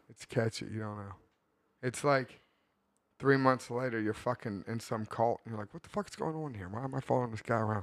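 A man speaks in an ordinary speaking voice at a medium pitch. His pace is fairly quick, with big swings in loudness. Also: ordinary pitch variation. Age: 30s. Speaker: podcast co-host. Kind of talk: casual chat.

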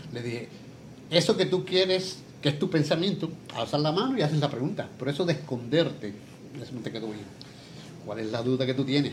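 A man speaks at a fairly quick pace in a fairly high pitch, his intonation lively, with long, frequent pauses and audible room echo. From Puerto Rico, San Lorenzo. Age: 70s. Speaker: retired professional wrestler. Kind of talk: interview.

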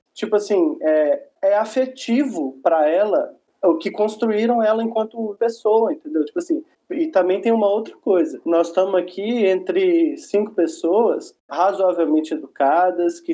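With a dark, mellow tone, the voice has very wide pitch swings and very even loudness, moving at a fairly slow pace with hardly any pauses. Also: man. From Belo Horizonte, Minas Gerais, Brazil. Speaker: educator and teaching materials writer. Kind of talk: casual panel discussion.

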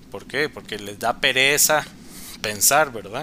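Ordinary pitch variation marks a man's speech at a very slow pace. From Costa Rica, Cartago. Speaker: podcast guest. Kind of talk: casual chat.

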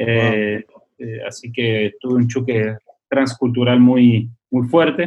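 A man speaks at a very slow pace, his pitch medium and his intonation fairly even. His loudness swings widely from moment to moment. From Argentina (Córdoba), then Switzerland from age 12. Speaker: missionary. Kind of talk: casual interview. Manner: halting, many repetitions.

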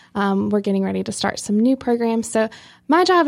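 An ordinary speaking voice with an American accent moves at a moderate pace on a very clean recording with a silent background. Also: woman. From eastern North Carolina, Rocky Mount. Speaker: public health educator. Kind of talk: casual interview.

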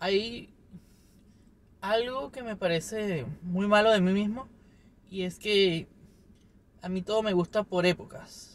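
The man's pitch is high. He talks very slowly, with long, frequent pauses. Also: ordinary pitch variation. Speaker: video podcaster. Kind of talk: casual solo monologue. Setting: recording himself on camera.

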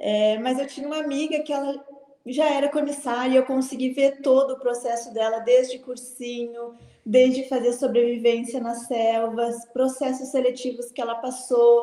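A woman talks at a high pitch and a moderate pace. Her intonation is monotone and flat. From Porto Alegre, southern Brazil. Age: 20s. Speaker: flight attendant. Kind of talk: interview. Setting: live stream.

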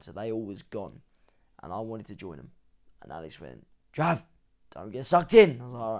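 A man with an English accent, medium pitch, a fairly quick pace, very wide pitch swings, big shifts in loudness, and long, frequent pauses. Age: 20s. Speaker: fitness coach. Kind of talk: casual chat.

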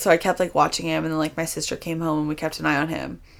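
On a very clean recording with a silent background, a woman speaks at a fairly low pitch. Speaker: dance instructor and podcast host. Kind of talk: casual chat.

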